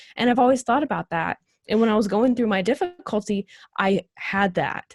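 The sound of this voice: A woman speaks at a medium pitch. Her pace is moderate and her intonation lively.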